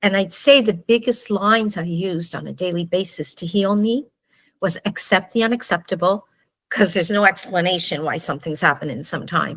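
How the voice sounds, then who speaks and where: At a moderate pace, a woman talks in an ordinary speaking voice with medium pitch and ordinary pitch variation. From Canada. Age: 60s. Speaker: book author. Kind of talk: personal testimony.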